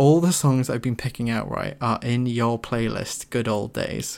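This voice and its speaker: A man at medium pitch, a plain, everyday voice with ordinary pitch variation. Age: 20s. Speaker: podcast host. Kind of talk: casual chat. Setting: online voice call.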